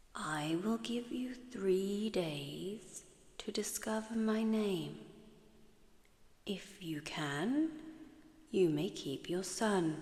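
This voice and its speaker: Very slow and somewhat breathy, a woman with a medium pitch swings very widely in pitch and leaves long, frequent pauses. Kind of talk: sleep story. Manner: soft-spoken.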